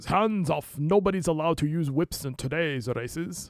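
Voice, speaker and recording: Using a gruff, growling put-on character voice, a man speaks at a fairly high pitch and moderate pace with ordinary pitch variation. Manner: growling, gruff.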